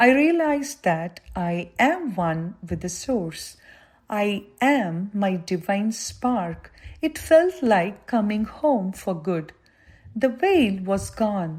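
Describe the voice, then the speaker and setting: A woman speaks very slowly, her voice somewhat breathy and her pitch swinging very widely. The recording is very clean, with a silent background. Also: medium pitch for a woman. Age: 80s+. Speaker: spiritual devotee giving testimony. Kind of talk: testimony.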